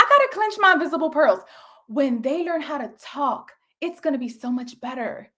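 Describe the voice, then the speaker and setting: A woman's animated, bright and sharp-toned delivery at a moderate pace. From North Philadelphia, Puerto Rican family. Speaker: business coach and motivational speaker. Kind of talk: online coaching session. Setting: live online session with chat.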